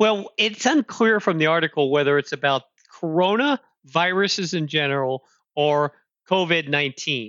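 An ordinary speaking voice moves at a moderate pace with lively intonation and very even loudness. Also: man, fairly high pitch for a man. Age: 60s. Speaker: tech podcast co-host, storage industry professional. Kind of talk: casual chat.

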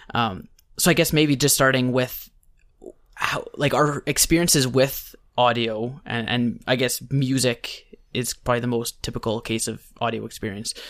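A man talks in an ordinary speaking voice at a moderate pace, with medium pitch and ordinary pitch variation. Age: 20s. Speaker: podcast host. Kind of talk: casual chat.

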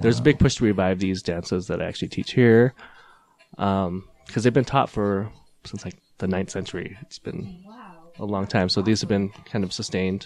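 With big swings in loudness, a fairly low-pitched man talks at a fairly quick pace and ordinary pitch variation. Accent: Utah. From Utah, US. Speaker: Cambodian dance teacher. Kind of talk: casual chat.

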